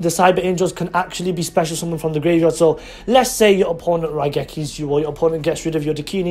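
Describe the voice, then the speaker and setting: Someone with a British accent talks at a very fast pace against noticeable background noise. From England. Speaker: YouTuber, card game deck reviewer. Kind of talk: deck profile tutorial. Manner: animated.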